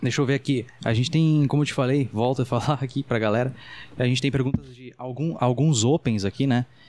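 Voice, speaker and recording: Here is a man with a normal speaking voice and medium pitch. His pace is fairly quick and his intonation fairly even. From Brazil, Rio Grande do Sul (Dom Pedrito). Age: 20s. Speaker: podcast host, amateur comedian. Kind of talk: casual interview chat.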